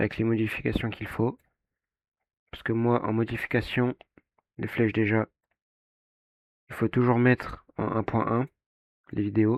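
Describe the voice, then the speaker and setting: Speaking at a fairly slow pace with long, frequent pauses, a man uses a medium pitch and monotone, flat intonation. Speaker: video editing tutorial creator. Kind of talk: tutorial. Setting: alone in his bedroom. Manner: hesitant, many fillers.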